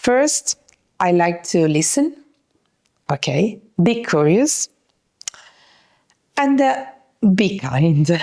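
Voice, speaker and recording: At a very slow pace with long, frequent pauses, a woman speaks at a medium pitch with very wide pitch swings and very even loudness, her tone dark and mellow in a dry, close sound with no echo. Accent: Italian. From Italy. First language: Italian. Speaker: yachting industry networker. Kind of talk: podcast interview. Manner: hesitant, many fillers.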